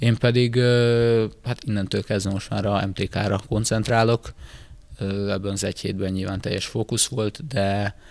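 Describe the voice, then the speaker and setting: Fairly even intonation runs through a man's speech. His pace is moderate. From Hungary. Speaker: football player, club captain. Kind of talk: casual interview. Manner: halting, many filler words. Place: hall. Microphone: handheld.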